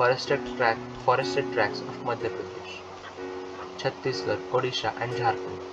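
Over music in the background, the talking proceeds at a moderate pace. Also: man. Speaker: audiobook narrator. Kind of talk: textbook audiobook reading. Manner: low-energy.

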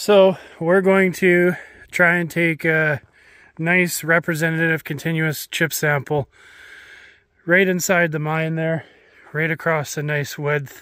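Against a quiet background, a man speaks very slowly in a flat monotone with long, frequent pauses, his bright, sharp tone dry with no echo. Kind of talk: field tutorial commentary. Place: forest. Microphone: phone near.

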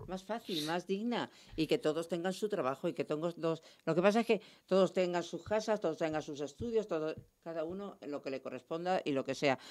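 A woman with an unremarkable speaking voice, fairly low in pitch with ordinary pitch variation, talks at a fairly quick pace over a quiet background. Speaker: radio panelist. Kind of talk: panel discussion. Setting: radio studio. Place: studio. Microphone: studio mic.

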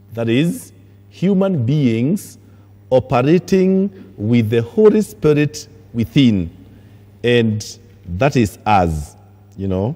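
Very slow and full of long, frequent pauses, a man speaks in a dark, mellow tone. His pitch swings very widely. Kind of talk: sermon. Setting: church. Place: church.

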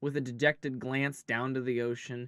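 The text is read aloud plainly.

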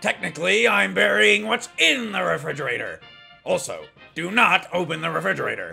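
A man talks fairly quickly while music plays faintly behind him. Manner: loud, blustering, oblivious.

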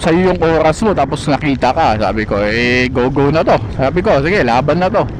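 Against noticeable background noise, a man talks at a fairly quick pace with a fairly high pitch for a man. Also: lively intonation, hardly any pauses, very even loudness. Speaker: motovlogger. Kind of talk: casual monologue. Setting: riding a motorbike outdoors. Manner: animated; talkative.

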